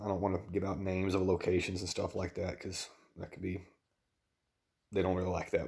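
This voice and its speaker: A quiet voice in a Southern US accent on a very clean recording with a silent background. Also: man. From US South. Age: 30s. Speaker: dietitian and vlogger. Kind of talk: personal vlog. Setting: at home at night.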